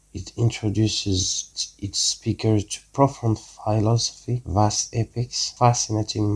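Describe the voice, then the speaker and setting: A man with a non-native accent speaks somewhat breathily at a medium pitch with fairly even intonation. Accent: noticeable non-native. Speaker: educational YouTuber. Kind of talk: scripted narration.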